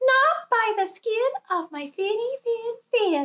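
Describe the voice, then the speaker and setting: Using a put-on character voice, a woman squeaks out her words at an extremely high pitch and a fairly slow pace. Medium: read story.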